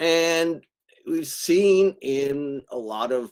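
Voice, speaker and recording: A man with an American accent. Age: 70s. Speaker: linguistics professor. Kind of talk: webinar lecture. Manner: hesitant, frequent uh.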